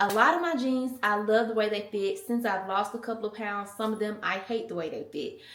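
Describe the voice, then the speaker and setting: Talking at a fairly quick pace with hardly any pauses, a woman with an American accent has a fairly high pitch and ordinary pitch variation, with audible room echo and noticeable background noise. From US South. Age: 20s. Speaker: mom vlogger. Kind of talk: casual chat. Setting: in a car. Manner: animated.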